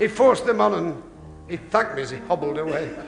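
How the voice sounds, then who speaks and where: The voice moves at a moderate pace. Music plays in the background. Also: man. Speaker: comedian. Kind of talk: comedy monologue.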